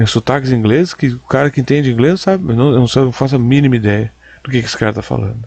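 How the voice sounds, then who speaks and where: Here a man speaks at a medium pitch. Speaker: commentator reacting to videos. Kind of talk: reaction commentary. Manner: animated.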